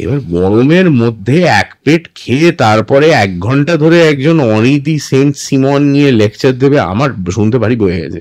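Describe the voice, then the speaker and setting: A man speaks with a fairly high voice. The pitch rises and falls across a very wide range. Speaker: voiceover artist and former radio jockey. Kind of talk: interview answer.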